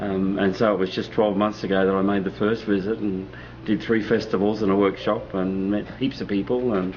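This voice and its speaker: A man with an Australian accent speaks at a fairly quick pace and a fairly low pitch. His loudness is very even and his intonation fairly even. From Australia (Melbourne and Sydney). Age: 50s. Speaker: sound healer and musician. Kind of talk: interview.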